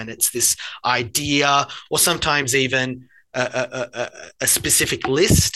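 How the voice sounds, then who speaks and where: A man's medium-pitched voice with an Australian accent, a bright, sharp tone and fairly even intonation. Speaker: learning designer, former high school teacher. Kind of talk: casual interview.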